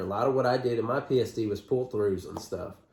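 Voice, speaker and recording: A man is speaking. He goes at a very fast pace. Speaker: trucker and vlogger. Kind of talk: casual chat. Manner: stutters sometimes.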